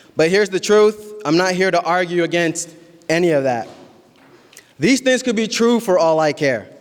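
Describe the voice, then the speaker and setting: A man with a Midwestern US accent speaks at a high pitch with lively intonation and very even loudness. He leaves long, frequent pauses. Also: moderate pace. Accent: American Midwest English. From Columbus, Ohio, US (Somali Bantu family, born in Kenya). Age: 20s. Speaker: community organizer, nonprofit founder. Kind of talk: public speech.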